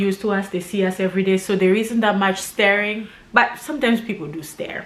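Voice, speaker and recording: Fairly quick speech with hardly any pauses, ordinary pitch variation and noticeable background noise. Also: woman. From Congo, Kinshasa. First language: Lingala or French. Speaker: YouTuber. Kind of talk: casual chat.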